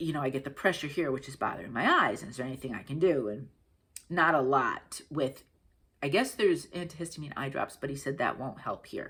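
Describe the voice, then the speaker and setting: This woman has a New England accent and a very deep, low pitch. She talks at a fairly quick pace with ordinary pitch variation. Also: big swings in loudness. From Connecticut, US. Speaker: craft video host. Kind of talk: casual chat.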